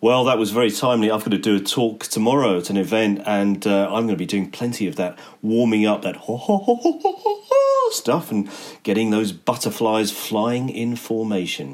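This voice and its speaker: A man speaks with an Essex accent. His intonation stays fairly even. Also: medium pitch for a man, moderate pace. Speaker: podcast host. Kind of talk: casual chat.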